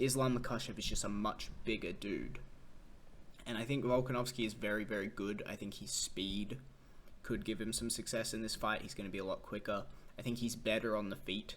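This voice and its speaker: A man speaks at a fairly quick pace in an Australian accent. His medium-pitched voice stays monotone and flat. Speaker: MMA commentator. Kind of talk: casual fight analysis monologue. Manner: casual, with fillers and restarts.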